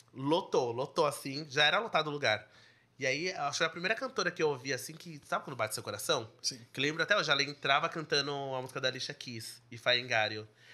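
A man's fairly high, bright, sharp voice at a very fast pace, with ordinary pitch variation and big swings in loudness. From São Paulo, Zona Leste (Brazil). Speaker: singer-songwriter. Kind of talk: podcast interview.

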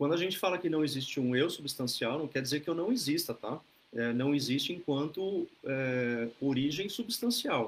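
In an unremarkable speaking voice, a man talks at a moderate pace with lively intonation and a fairly high pitch. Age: 40s. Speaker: Buddhist teacher leading an online group. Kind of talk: dharma talk. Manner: relaxed, conversational with many fillers.

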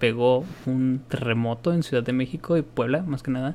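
Here a man talks with an ordinary speaking voice. His pitch is medium and his pace moderate. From Mexico. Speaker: podcast co-host. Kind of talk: casual chat.

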